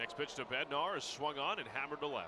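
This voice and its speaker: Music plays in the background as a man speaks with a fairly high pitch. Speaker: baseball radio announcer. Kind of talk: live baseball play-by-play commentary.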